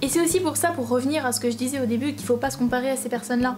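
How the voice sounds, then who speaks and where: With noticeable background noise behind her, a woman speaks at a high pitch with lively intonation. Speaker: YouTuber, drama student. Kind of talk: vlog commentary. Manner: fast; animated.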